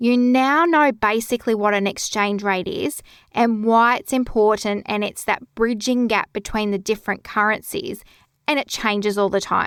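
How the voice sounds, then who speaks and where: Speaking with an Australian accent, a woman has a fairly high pitch, a calm tone and ordinary pitch variation at a moderate pace. The recording is very clean and the background silent. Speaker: bookkeeping podcast host. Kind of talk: podcast tutorial.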